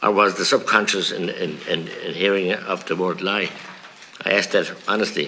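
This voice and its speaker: Noticeable background noise surrounds a man speaking. He has a rural Irish accent and a fairly quick pace. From rural Ireland. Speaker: politician. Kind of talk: committee hearing questioning. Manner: forceful, indignant.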